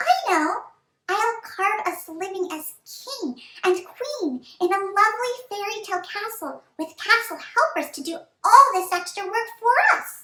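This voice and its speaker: A female-sounding, squeaky put-on character voice speaks fairly slowly at an extremely high pitch. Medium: read story.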